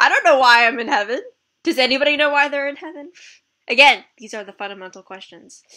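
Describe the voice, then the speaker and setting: A woman talks at a very fast pace in a raised, projected voice with a high pitch and lively intonation. Her tone is bright and sharp, with big swings in loudness. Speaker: livestream host. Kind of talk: casual chat.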